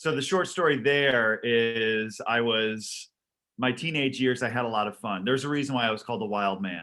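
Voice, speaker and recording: With an American accent, this man talks at a moderate pace in a medium pitch, using ordinary pitch variation. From Massachusetts, outside Boston. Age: 60s. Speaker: professional juggler. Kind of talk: casual chat. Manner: halting.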